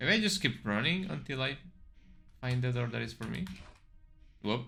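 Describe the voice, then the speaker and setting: Music plays in the background as a man talks at a moderate pace. His medium pitch moves through very wide swings. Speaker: vtuber gamer. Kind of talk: let's play commentary. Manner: halting, repeats words.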